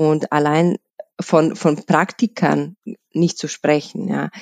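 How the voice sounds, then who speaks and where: In a dry, close recording with no echo, a woman with a Bosnian accent speaks at a fairly low pitch with fairly even intonation. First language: Bosnian (speaking German). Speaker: HR lead at a tax advisory firm. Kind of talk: interview. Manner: halting, many fillers.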